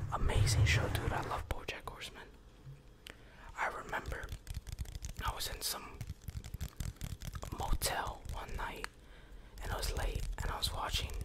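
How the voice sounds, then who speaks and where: A man is whispering at a moderate pace. He leaves long, frequent pauses. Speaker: ASMR creator. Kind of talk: ASMR whisper ramble. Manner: whispered; casual, relaxed. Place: home room. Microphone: studio mic.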